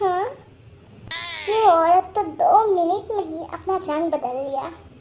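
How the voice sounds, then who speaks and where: Using a put-on character voice at an extremely high pitch, a woman speaks at a fairly slow pace with ordinary pitch variation. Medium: fan dub. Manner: dry, deadpan.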